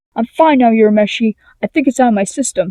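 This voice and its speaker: Using a whiny, put-on character voice, a woman rattles along at a very fast pace and a fairly high pitch, the sound dry and close with no echo. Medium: read story.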